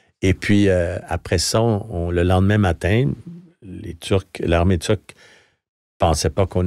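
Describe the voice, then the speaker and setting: Over a quiet background, a man speaks with a very deep, low pitch, a dark, mellow tone and fairly even intonation, the sound dry with no echo. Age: 70s. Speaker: retired journalist and foreign correspondent; retired journalist, foreign correspondent. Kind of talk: interview. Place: studio. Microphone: studio mic.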